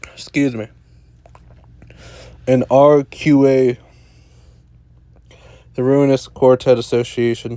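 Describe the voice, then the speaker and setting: Slowly and with long, frequent pauses, a man speaks at a medium pitch in a dark, mellow tone. His intonation is monotone and flat, and his pace is very slow. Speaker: gaming YouTuber, draft league coach. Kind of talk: game commentary.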